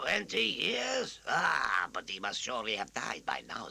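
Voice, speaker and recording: At a moderate pace, a man uses a raspy, put-on character voice. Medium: read story.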